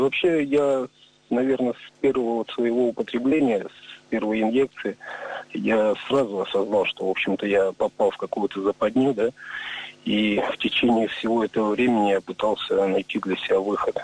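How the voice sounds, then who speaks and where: Over noticeable background noise, a man with a medium pitch speaks at a moderate pace in a dry, close sound with no echo. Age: 40s. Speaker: recovering drug addict. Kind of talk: testimony.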